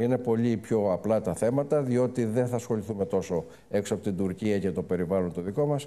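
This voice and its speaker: A man's dark, mellow tone at a fairly quick pace, with ordinary pitch variation. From Greece. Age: 70s. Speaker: banker and business group chairman; guest. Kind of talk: fireside chat interview. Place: stage. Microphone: lapel.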